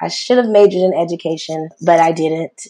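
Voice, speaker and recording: A woman with an American accent speaks in a normal speaking voice at a fairly low pitch. Her pace is moderate and her intonation fairly even. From US South, South Carolina (Rock Hill). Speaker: dance studio founder, former teacher. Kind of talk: interview, casual chat.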